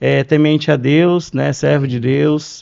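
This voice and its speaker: Talking at a fairly slow pace, a man uses an ordinary speaking voice at a medium pitch. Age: 30s. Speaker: glass industry sales professional. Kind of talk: podcast interview.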